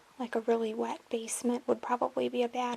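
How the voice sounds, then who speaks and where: Noticeable background noise sits behind a soft-spoken voice. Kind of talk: ASMR soft-spoken talk to camera.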